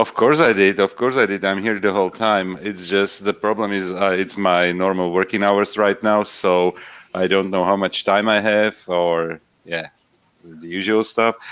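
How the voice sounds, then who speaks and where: With an Eastern European accent, a man speaks at a fairly low pitch and with fairly even intonation. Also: moderate pace. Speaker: livestream guest. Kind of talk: casual chat. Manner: hesitant, many fillers.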